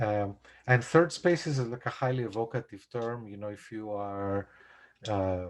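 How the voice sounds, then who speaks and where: At a fairly slow pace, a man with a Greek accent and a fairly low pitch speaks with ordinary pitch variation and big swings in loudness on a very clean recording with a silent background. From Greece. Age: 40s. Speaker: composer. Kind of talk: casual chat. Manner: halting.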